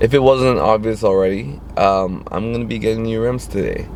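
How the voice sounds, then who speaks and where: Noticeable background noise sits behind a man talking at a fairly quick pace. His intonation is lively. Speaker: car vlogger. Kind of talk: casual vlog.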